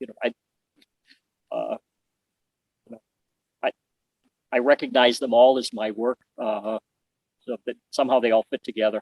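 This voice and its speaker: A man with an American accent speaks in a monotone, flat intonation with big swings in loudness and long, frequent pauses. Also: medium pitch for a man, moderate pace. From US Midwest, Detroit suburbs. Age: 60s. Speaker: metal artist. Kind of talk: interview. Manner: halting, many fillers.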